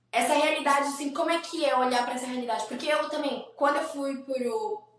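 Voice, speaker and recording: With audible room echo around her, a woman speaks at a high pitch and a fairly quick pace, with ordinary pitch variation. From Brazil. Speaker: podcast host, musical theatre performer. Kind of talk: podcast interview.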